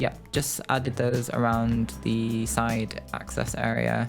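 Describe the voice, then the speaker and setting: A man is speaking. Music plays in the background. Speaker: video game content creator. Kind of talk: casual voice-over for a game build video.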